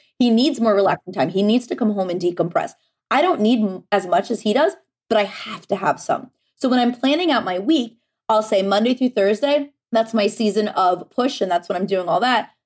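A woman's fairly high voice, quick-paced, with lively intonation. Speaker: productivity coach. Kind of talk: casual interview chat. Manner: fast talker.

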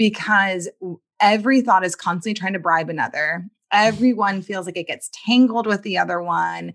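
A woman with a normal speaking voice, medium pitch and ordinary pitch variation at a moderate pace over a quiet background. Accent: American. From US South, New Orleans, Louisiana. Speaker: writer and poet. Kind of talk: interview.

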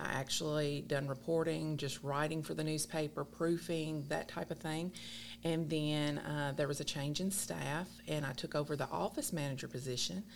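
Speaking in a Kentucky accent, a woman with a very deep, low pitch and vocal fry keeps a very even loudness and fairly even intonation. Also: moderate pace. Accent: Southern US (Kentucky). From South Central Kentucky. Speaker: newspaper general manager. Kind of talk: casual interview.

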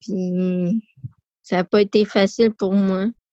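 Music plays behind a woman talking at a very slow pace. Her intonation stays monotone and flat. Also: dry, close sound with no echo. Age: 20s. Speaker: person with spina bifida. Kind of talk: testimony. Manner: halting; shy.

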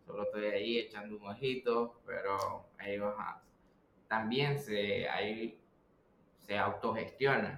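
In a Nicaraguan accent, a man speaks at a very slow pace. His pitch is medium and his intonation fairly even. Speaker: pizzeria co-owner. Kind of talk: casual interview conversation.

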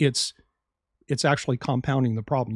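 On a very clean recording with a silent background and a dry, close sound with no echo, a man of medium pitch talks in an ordinary speaking voice with ordinary pitch variation. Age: 50s. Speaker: health podcast host, doctor. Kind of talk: solo educational podcast monologue.

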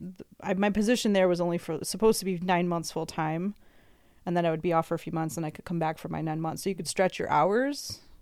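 In an American accent, a woman speaks at a very fast pace with ordinary pitch variation. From US Midwest (Chicago area). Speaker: arborist. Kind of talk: casual chat.

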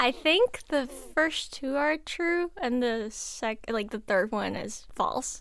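Over a silent background in a very clean recording, a woman speaks very slowly at a high pitch with lively intonation. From South Korea. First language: Korean. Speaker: college student. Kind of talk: casual chat.

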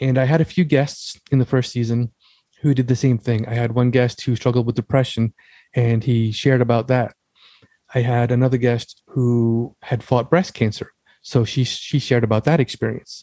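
A man with an American accent speaks in a normal speaking voice at medium pitch and a moderate pace, with fairly even intonation and a dry, close sound with no echo. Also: very even loudness. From US Northeast, Long Island, New York. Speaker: author and military veteran. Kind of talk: interview conversation.

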